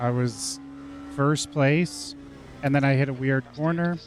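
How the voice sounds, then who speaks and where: Against noticeable background noise, a man with a medium pitch speaks at a fairly slow pace. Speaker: video game streamer. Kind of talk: live gameplay commentary. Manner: animated.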